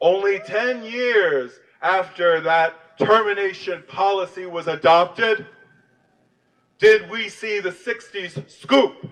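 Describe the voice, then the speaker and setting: At a very slow pace, a high-pitched man talks with an American accent. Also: ordinary pitch variation. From US South, Louisiana (New Orleans). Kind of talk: rally speech. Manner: impassioned.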